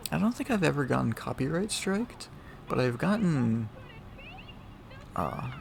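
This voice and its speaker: A quiet man talks at a moderate pace over noticeable background noise. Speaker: gaming youtuber. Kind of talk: casual gameplay commentary. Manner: quieter later on.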